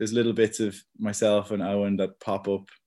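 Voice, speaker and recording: The recording is very clean with a silent background. A man talks at a fairly quick pace with a fairly low pitch and a dark, mellow tone. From Dublin, Ireland. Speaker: electronic music producer and musician. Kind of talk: casual interview chat. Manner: hesitant, frequent repeats and filler.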